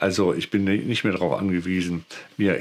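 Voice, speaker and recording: Over light background noise, a man with a very deep, low voice speaks with fairly even intonation. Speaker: YouTube camera reviewer. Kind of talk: product review talk. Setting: outdoors. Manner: hesitant with filler words. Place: home room.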